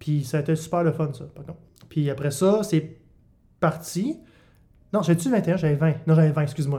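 This man's fairly high voice has a dark, mellow tone, a moderate pace, ordinary pitch variation, big swings in loudness, and long, frequent pauses. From Quebec, Bas-Saint-Laurent. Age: 20s. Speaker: comedian. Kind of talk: casual chat.

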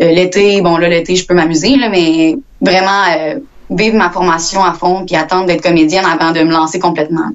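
A woman talks at a moderate pace in an ordinary speaking voice, medium in pitch with ordinary pitch variation. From Quebec, Victoriaville area. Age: young. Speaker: actress and student. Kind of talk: interview.

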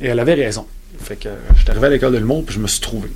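Speaking very fast, a man with a Quebec accent has a medium pitch. Noticeable background noise and audible room echo are present. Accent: Québécois French. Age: 40s. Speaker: comedian. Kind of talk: interview.

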